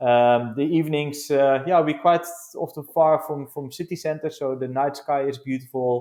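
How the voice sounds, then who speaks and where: A man with a Dutch accent talks at a moderate pace. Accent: non-South African, Dutch. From Netherlands. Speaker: glamping business founder. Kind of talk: podcast interview. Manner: halting, many fillers.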